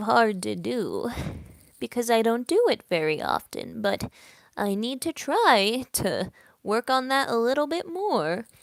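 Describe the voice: Someone speaks in a put-on character voice that sounds shaky. The pace is fairly slow. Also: female-sounding voice.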